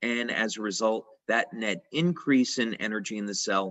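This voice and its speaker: A man with a plain, everyday voice at medium pitch, speaking at a moderate pace. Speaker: company founder and inventor presenting a product. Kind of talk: product presentation lecture. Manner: many fillers (uh).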